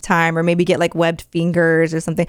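In a very clean recording with a silent background, a woman talks at a fairly quick pace and a fairly low pitch. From Mexican-American. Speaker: radio host. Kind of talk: casual chat.

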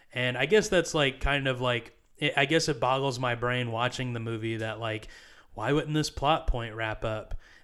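At a moderate pace, a man with an unremarkable speaking voice and a medium pitch talks on a very clean recording with a silent background. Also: ordinary pitch variation. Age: 20s. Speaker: podcast co-host. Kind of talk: casual chat.

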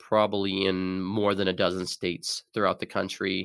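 A man speaks with an American accent in a monotone, flat intonation, on a very clean recording with a silent background and a dry, close sound with no echo. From Arizona. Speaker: bookkeeping firm CEO. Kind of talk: interview. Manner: hesitant, many fillers.

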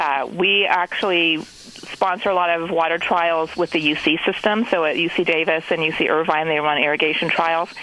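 The speaker talks at a moderate pace. There is noticeable background noise. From Netherlands. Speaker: horticulture expert. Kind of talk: interview. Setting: phone call from Bay Area.

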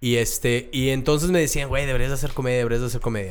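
Talking at a fairly quick pace, a man has an unremarkable speaking voice, medium in pitch with ordinary pitch variation. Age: 30s. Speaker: comedian. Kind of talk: casual chat.

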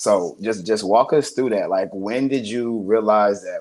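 Ordinary pitch variation from a male speaker with an American accent at medium pitch. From Columbus, Ohio. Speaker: podcast host. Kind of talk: casual chat. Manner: animated.

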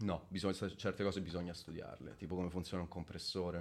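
Over a quiet background, a man speaks at a fairly quick pace. His pitch is very deep and low, his intonation monotone and flat. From central Italy, Viterbo province (Lazio). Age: 30s. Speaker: bassist and music producer. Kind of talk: casual interview chat. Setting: live-streamed video podcast.

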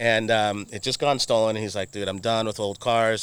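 On a very clean recording with a silent background, a man with an American accent talks fairly quickly in a plain, everyday voice with a fairly low pitch. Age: 40s. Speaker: automotive marketing agency owner. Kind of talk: casual chat. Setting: outdoors.

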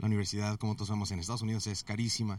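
A man speaks at a fairly low pitch. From US, Mexican family from Guadalajara. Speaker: IT consultant. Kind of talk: interview. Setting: conference venue.

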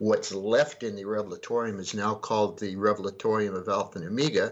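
A man talks in a normal speaking voice at a fairly quick pace. His pitch is fairly low. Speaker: UFO researcher and author. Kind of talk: radio interview.

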